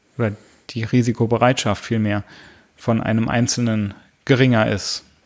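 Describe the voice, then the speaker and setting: At a moderate pace and medium pitch, a man delivers his lines. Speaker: podcast co-host. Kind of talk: casual chat. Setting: home office. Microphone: studio microphone.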